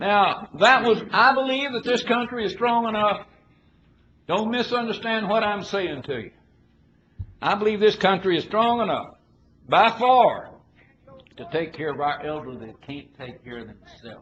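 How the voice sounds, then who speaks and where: A man with a Southern US accent speaks in a high pitch at a moderate pace, his intonation lively. Long, frequent pauses break up his speech, and his loudness swings widely. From Arkansas. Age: 70s. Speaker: politician. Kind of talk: political speech. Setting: conference with audience. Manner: folksy, emphatic.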